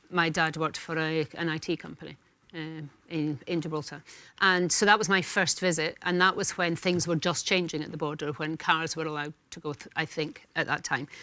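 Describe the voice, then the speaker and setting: A woman with a very deep, low pitch and a bright, sharp tone talks at a fairly quick pace with fairly even intonation and big swings in loudness, on a very clean recording with a silent background. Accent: Scottish. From Scotland. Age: 60s. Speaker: talk show panelist. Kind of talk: casual chat. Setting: studio.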